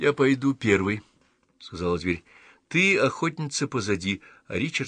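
Plain reading aloud, with lively intonation over a quiet background.

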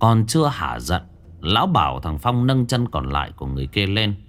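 What you hear is an unforced reading voice.

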